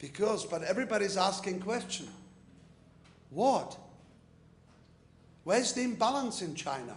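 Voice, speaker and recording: A man talks in a high voice at a moderate pace with ordinary pitch variation. Audible room echo and noticeable background noise are present. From Czechoslovakia. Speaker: businessman and invited speaker. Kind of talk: conference speech.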